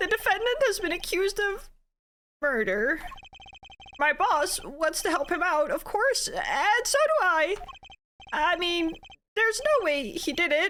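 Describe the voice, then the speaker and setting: A put-on character voice at an extremely high pitch, moderate in pace, with long, frequent pauses. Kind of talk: casual gameplay commentary. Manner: loud, nervous.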